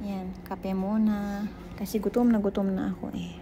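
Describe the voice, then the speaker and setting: A soft-spoken woman talks at a fairly slow pace. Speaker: cooking vlogger. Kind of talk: casual vlog narration.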